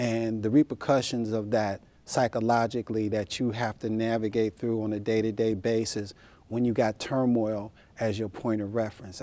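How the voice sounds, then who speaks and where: At a moderate pace, a man of medium pitch talks in a dark, mellow tone with monotone, flat intonation. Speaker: spoken word poet. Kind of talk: interview answer. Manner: casual, candid.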